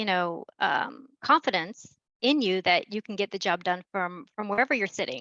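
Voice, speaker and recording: Recorded dry and close with no echo, a woman with an American accent speaks at a medium pitch and moderate pace, her tone bright and sharp and her intonation lively. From Miami, US. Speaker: event moderator. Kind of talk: panel discussion.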